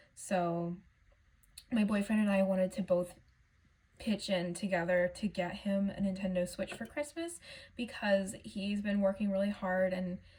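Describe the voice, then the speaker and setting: Speaking at a fairly slow pace, a woman has a somewhat breathy voice of medium pitch and a dark, mellow tone. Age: 20s. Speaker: budgeting vlogger. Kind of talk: casual vlog talk.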